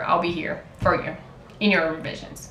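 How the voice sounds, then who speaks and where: Noticeable background noise and audible room echo surround speech that moves at a moderate speed. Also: woman. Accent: Portuguese. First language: Portuguese. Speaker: writer and contest mentor. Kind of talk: casual vlog monologue. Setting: talking to camera.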